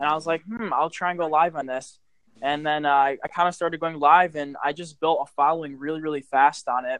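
An unremarkable speaking voice, this man's is fairly high in pitch, with fairly even intonation at a fairly quick pace. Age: 20s. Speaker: social media influencer. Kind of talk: casual interview.

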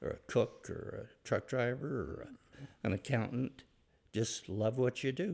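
With an American accent, a man speaks at a medium pitch and a fairly slow pace. His tone is dark and mellow, with vocal fry and lively intonation. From Utah (Provo). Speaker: retired business owner. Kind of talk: interview. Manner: halting.

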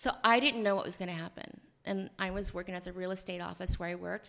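In a normal speaking voice, a woman with an American accent talks at a fairly quick pace and medium pitch, with fairly even intonation. The recording is very clean, with a silent background. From rural Ohio. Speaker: author and prison reform advocate. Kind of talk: interview storytelling.

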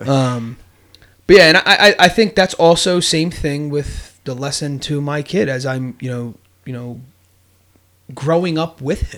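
Pausing long and often, a man speaks at a fairly slow pace and fairly high pitch, with ordinary pitch variation and big swings in loudness. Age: 30s. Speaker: podcast host. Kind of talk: casual chat.

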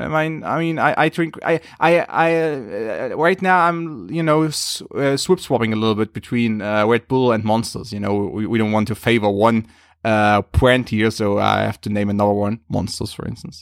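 A man with a normal speaking voice talks at a moderate pace and medium pitch, his intonation lively and his speech hardly broken by pauses, in a very clean recording with a silent background. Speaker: football analyst and writer. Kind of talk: casual chat.

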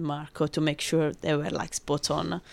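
A woman speaks with an Italian accent. The recording is very clean, with a silent background. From Rome, Italy. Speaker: brand ambassador, former bartender. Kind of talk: casual interview.

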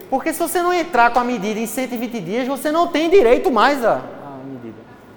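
Lively intonation and an animated tone in a Pernambuco accent, at a fairly slow pace, with noticeable background noise and audible room echo. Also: man. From Recife, Brazil. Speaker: law lecturer. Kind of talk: lecture.

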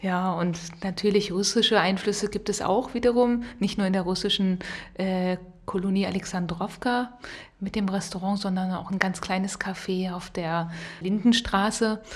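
Moderate pace and medium pitch from a woman, with fairly even intonation and noticeable background noise. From Rhineland, western Germany. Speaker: podcast co-host. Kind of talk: casual chat.

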